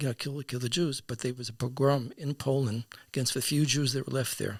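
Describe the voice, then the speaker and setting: A man's somewhat breathy voice at medium pitch, fairly even in intonation, at a moderate pace. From US South (Atlanta). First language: Yiddish. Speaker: podcast guest. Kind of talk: storytelling interview. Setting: studio. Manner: halting, repetitive.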